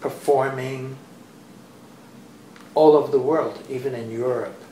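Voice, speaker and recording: Amid noticeable background noise and audible room echo, a man speaks at a fairly slow pace in a monotone, flat intonation. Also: medium pitch for a man. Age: 80s+. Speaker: dancer and dance teacher. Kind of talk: interview. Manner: halting.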